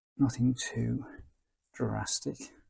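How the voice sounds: This man's medium-pitched voice has a slightly mellow tone, a slightly husky edge and vocal fry.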